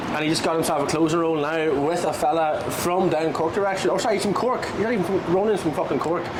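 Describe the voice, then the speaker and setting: A very fast, high-pitched man's voice with ordinary pitch variation, hardly any pauses and very even loudness, plus noticeable background noise and audible room echo. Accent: strong Irish. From Ireland. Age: 20s. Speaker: podcast guest, online sales coach. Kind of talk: casual chat. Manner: animated.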